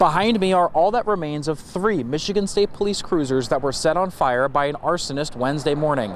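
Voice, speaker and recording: A man's fairly high-pitched voice with lively intonation, a fairly quick pace, hardly any pauses and very even loudness, over noticeable background noise. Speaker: TV news reporter. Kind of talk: TV news report.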